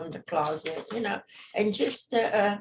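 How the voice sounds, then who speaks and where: A woman speaks with a German accent. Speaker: witness in probate hearing. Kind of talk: court testimony. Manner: halting.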